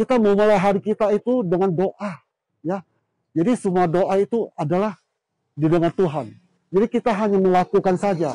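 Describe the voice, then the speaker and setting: A man speaks at a fairly quick pace in a high pitch with a dark, mellow tone and ordinary pitch variation. His loudness stays very even, and the sound is dry and close with no echo. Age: 70s. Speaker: small shop owner. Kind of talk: testimony. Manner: casual, frequent fillers.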